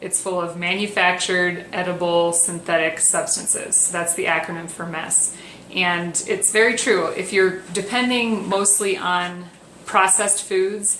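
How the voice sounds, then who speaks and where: At a fairly slow pace, a woman speaks at medium pitch with fairly even intonation, with audible room echo and noticeable background noise. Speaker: wellness coach. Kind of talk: tutorial. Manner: soft-spoken; hesitant with fillers.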